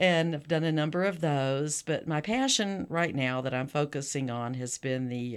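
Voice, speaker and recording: A woman's very deep, low voice with a Texan accent, in a very clean recording with a silent background. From South Texas. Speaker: author. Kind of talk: interview.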